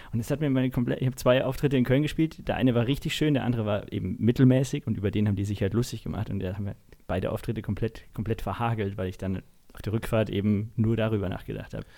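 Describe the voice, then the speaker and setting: The man talks at a very fast pace in a dark, mellow tone. His pitch is medium, with ordinary variation. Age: 20s. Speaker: podcast host and stand-up comedian. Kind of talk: casual interview chat. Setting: at home at his desk.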